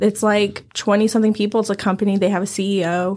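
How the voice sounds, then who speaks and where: A woman's medium-pitched, monotone, flat delivery on a very clean recording with a silent background. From China. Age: 20s. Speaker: teacher. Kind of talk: casual chat.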